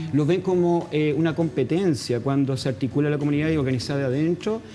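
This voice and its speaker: A man with a Chilean accent, fairly high-pitched, at a fairly quick pace. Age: 50s. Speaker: NGO founder and activist. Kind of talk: interview. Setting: studio. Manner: halting.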